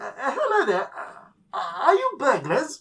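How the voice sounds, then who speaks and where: Someone speaks at a moderate pace in a high-pitched, put-on character voice. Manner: hesitant, polite, nervous.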